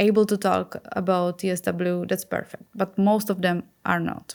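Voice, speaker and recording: A woman speaks in a Czech accent at a medium pitch. Her intonation is monotone and flat. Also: very clean recording, silent background. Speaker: skin health activist. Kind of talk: podcast interview. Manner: halting.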